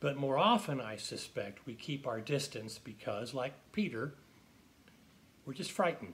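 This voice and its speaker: A man talks in an unremarkable speaking voice, fairly high in pitch. His pace is fairly slow and his intonation lively. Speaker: pastor. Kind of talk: sermon-style devotional reflection. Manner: calm, measured.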